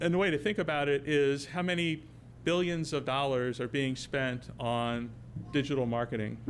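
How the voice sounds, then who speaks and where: In a room with audible echo, a man holds a very even loudness, his fairly high voice showing ordinary pitch variation. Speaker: technology company presenter. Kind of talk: conference presentation. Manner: fast.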